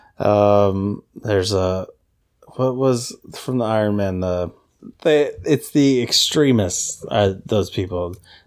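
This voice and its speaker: In an American accent, a speaker talks at a very slow pace in a playful tone with ordinary pitch variation, on a very clean recording with a silent background. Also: man, fairly low pitch for a man. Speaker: podcast host. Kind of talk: casual chat. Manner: joking, playful.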